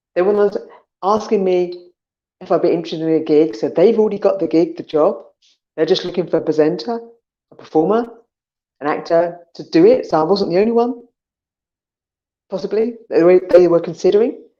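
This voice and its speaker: In an English accent, a dark, mellow tone moves at a fairly quick pace with ordinary pitch variation and long, frequent pauses, over a quiet background. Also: woman, medium pitch for a woman. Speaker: online show host and commercial actor. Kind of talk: casual solo livestream talk. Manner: fast; animated.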